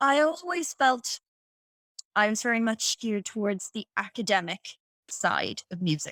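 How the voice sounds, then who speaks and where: With an Irish accent, a woman speaks at a fairly slow pace in a fairly high, bright, sharp voice with very wide pitch swings and a dry, close sound with no echo. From Ireland. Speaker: piano teacher. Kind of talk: podcast interview answer.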